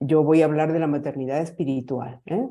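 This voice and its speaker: Over a quiet background, a woman speaks at a very deep, low pitch in a dark, mellow tone. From Argentina. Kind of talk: conference talk. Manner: halting, many fillers and repetitions.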